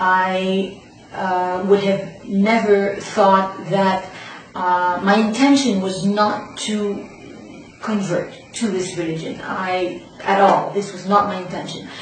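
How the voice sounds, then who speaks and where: Very slowly and in a flat monotone, a woman of medium pitch speaks with audible room echo and noticeable background noise. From Canada. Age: 40s. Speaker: convert sharing her story. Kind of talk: testimony. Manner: hesitant, many fillers.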